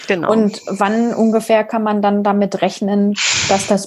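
A woman speaks at a medium pitch and a fairly slow pace in a normal speaking voice. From village near Braunschweig, Germany. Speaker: podcast host. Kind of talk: podcast interview.

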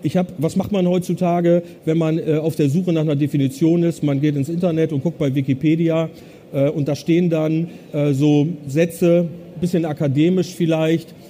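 Noticeable background noise sits behind a man with a fairly high pitch and a monotone, flat intonation. He speaks at a moderate pace with very even loudness. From northern Germany, Bremen. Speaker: business consultant. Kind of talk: conference talk. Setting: stage with audience.

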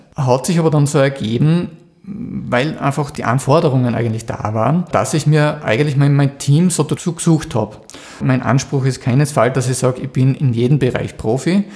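Noticeable background noise under a fairly high male voice, moderately paced and with ordinary pitch variation. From Austria, Styria (Mürztal). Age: 40s. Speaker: graphic designer, business owner. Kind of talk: interview.

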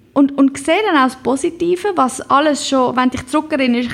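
A woman is speaking. Her pace is fairly quick. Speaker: podcast host. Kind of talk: pep talk, motivational monologue. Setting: home. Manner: warm, encouraging, direct address.

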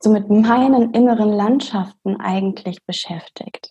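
A somewhat breathy, calm voice with a dark, mellow tone, a fairly slow pace and fairly even intonation. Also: woman. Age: 20s. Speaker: doctor and coach. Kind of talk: interview.

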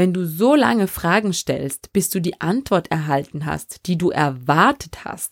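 Her medium-pitched voice moves in very wide pitch swings at a fairly slow pace, with a dry, close sound with no echo and a very clean recording against a silent background. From Austria, Vorarlberg. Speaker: podcast host. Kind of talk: solo podcast monologue.

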